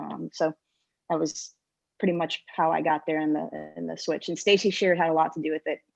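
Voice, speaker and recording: A woman with an American accent talks at a fairly quick pace in a very deep, low pitch with vocal fry. The sound is dry and close with no echo, over a quiet background. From US South, Georgia (Atlanta area). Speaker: military helicopter pilot. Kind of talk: panel discussion. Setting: video call.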